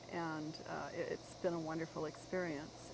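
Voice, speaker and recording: The woman has an unremarkable speaking voice and keeps a moderate pace. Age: 60s. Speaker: author and long-distance walker. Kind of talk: interview.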